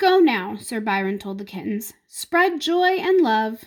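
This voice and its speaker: Putting on a character voice, a woman speaks at a fairly slow pace with fairly high pitch and very wide pitch swings. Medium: read story. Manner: authoritative, measured.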